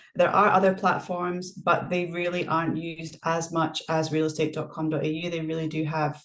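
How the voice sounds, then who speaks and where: A woman speaks with a Scottish accent at a very deep, low pitch. Her intonation is flat and monotone, her pace moderate. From Scotland. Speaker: property manager. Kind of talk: interview.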